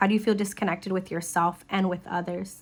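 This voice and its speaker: A woman with a plain, everyday voice speaks at a fairly quick pace and medium pitch, using fairly even intonation. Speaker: psychic tarot reader. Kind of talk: tarot reading.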